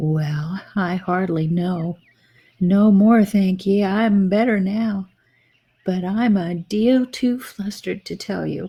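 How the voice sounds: A squeaky, female-sounding put-on character voice at a middle pitch and a fairly slow pace.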